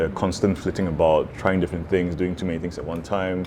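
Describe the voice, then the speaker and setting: A man speaks in a very deep, low voice. Noticeable background noise comes through. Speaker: dinner guest. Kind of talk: casual chat. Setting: dinner table conversation.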